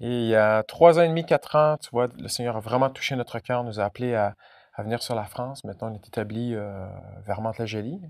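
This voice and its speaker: Speaking at a fairly quick pace with a slight Quebec accent, a man's medium-pitched voice shows ordinary pitch variation and big swings in loudness, in a very clean recording with a silent background and a dry, close sound with no echo. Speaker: pastor. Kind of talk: sermon.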